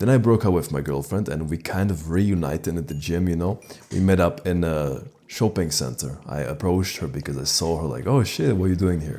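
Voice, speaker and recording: A man's very deep, low, dark, mellow voice with vocal fry, lively intonation and a fairly quick pace. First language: not English. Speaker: dating advice YouTuber. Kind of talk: casual storytelling monologue. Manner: casual, conversational.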